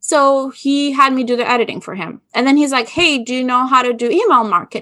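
With an Albanian accent, a woman speaks fairly quickly in a bright, sharp tone on a very clean recording with a silent background. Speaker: business consultant. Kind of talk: interview.

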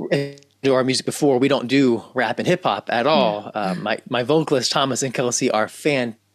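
Over music in the background, a man with an American accent talks at a moderate pace and medium pitch, with ordinary pitch variation and hardly any pauses. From US South, Memphis, Tennessee. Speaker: composer and ensemble director. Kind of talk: interview. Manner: halting, many restarts.

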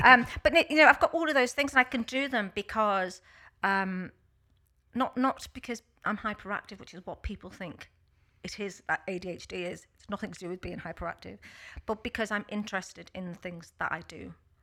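A woman with a Liverpool accent, medium pitch, bright, sharp tone, lively intonation, big swings in loudness and a fairly quick pace, on a very clean recording with a silent background. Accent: Scouse (Liverpool). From Liverpool, England. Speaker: workplace consultant. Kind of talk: casual chat. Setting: studio.

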